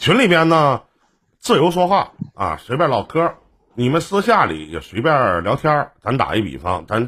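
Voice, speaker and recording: A man with a bright, sharp tone and vocal fry speaks at a moderate pace, his pitch swinging very widely. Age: 40s. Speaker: radio/stream host. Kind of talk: casual call-in chat.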